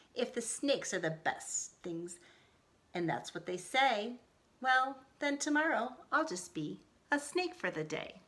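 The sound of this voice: Putting on a growling character voice, a woman speaks fairly slowly at a high pitch with very wide pitch swings.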